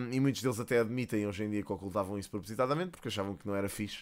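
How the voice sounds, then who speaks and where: The speaker has a European Portuguese accent, heard on a very clean recording with a silent background. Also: man. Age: 30s. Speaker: gaming YouTuber. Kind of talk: casual vlog monologue. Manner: hesitant, many fillers.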